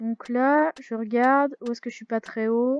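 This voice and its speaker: In a dry, close recording with no echo, a woman talks at a fairly slow pace with a fairly high pitch. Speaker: gaming youtuber. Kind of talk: let's play commentary. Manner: loud; hesitant, many fillers.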